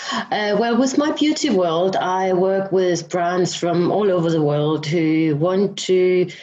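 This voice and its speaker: Very slow speech with audible room echo. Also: woman. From Denmark. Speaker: beauty business founder. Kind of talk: casual interview.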